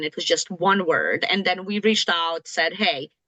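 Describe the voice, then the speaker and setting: The voice has a bright, sharp tone and a dry, close sound with no echo. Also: woman. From outside the US, immigrated near age 30. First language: not English (English is third language). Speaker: certification office official. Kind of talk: informational Q&A session.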